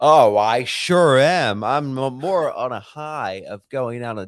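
An ordinary speaking voice with lively intonation, in a very clean recording over a silent background. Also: man. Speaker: comedian guest. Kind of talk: casual banter.

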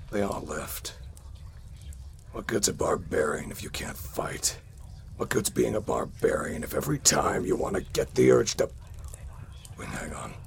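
A man's put-on character voice at a moderate pace, with long, frequent pauses and noticeable background noise. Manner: gruff, glum, then rousing.

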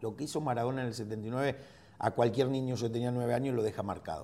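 A man with a medium pitch. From Argentina. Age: 50s. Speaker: football coach and former player. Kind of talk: interview.

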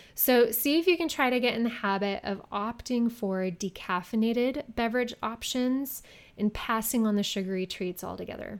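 On a very clean recording with a silent background, a woman with an ordinary speaking voice talks at a moderate pace and a fairly high pitch, with ordinary pitch variation and hardly any pauses. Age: 30s. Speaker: fitness podcast host. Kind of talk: solo podcast talk.

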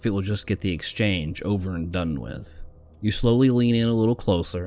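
Someone reads in a natural voice, and the pitch varies in an ordinary way.

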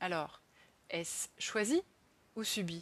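A woman speaks at a medium pitch with lively intonation. The background is quiet. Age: 30s. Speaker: podcaster on career change and social economy. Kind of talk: personal monologue podcast.

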